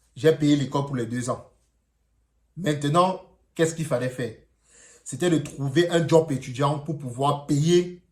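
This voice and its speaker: Somewhat breathy and fairly high in pitch, a man with a Cameroonian accent speaks at a fairly slow pace with fairly even intonation. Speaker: vlogger. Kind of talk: personal vlog. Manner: casual, hesitant.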